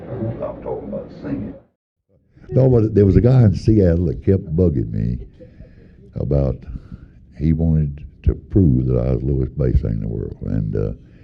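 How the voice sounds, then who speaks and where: A man speaks at a moderate pace, with long, frequent pauses. His very deep, low voice swings very widely in pitch. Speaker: gospel bass singer. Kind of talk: interview answer.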